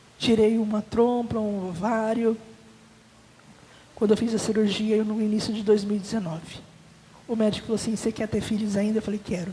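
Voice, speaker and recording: This woman talks at a fairly quick pace with a fairly high pitch and monotone, flat intonation, broken by long, frequent pauses. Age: 40s. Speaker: testimony giver at church. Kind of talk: testimony.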